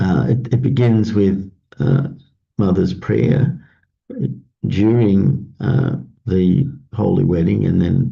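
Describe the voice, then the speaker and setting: A dark, mellow tone with vocal fry and lively intonation, very even loudness, a very slow pace with long, frequent pauses, and audible room echo. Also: man, fairly low pitch for a man. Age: 60s. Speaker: pastor. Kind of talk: morning devotion talk. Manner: halting with many fillers.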